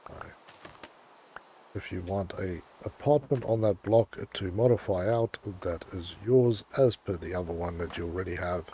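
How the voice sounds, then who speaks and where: Speaking at a moderate pace with long, frequent pauses, a man with a very deep, low pitch shows ordinary pitch variation and big swings in loudness. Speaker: gaming streamer. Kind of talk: live gameplay stream chat. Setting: livestream. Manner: casual, hesitant with fillers.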